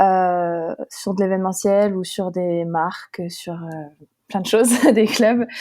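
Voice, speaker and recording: A woman's very slow, medium-pitched voice with a dark, mellow tone, fairly even intonation and big swings in loudness. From northeastern France, Haute-Marne. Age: 20s. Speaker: professional triathlete. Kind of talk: podcast interview. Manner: hesitant, many fillers.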